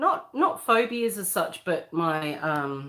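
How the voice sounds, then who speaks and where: On a very clean recording with a silent background, a woman with an Australian accent speaks in a bright, sharp tone with lively intonation. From Western Australia. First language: Croatian. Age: 40s. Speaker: livestreamer. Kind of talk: casual livestream chat. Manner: loud at times.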